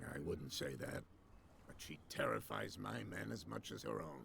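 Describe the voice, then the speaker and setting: A man puts on a raspy character voice with a very deep, low pitch, speaking at a moderate pace over clear background noise. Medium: video game. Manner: evasive, guarded.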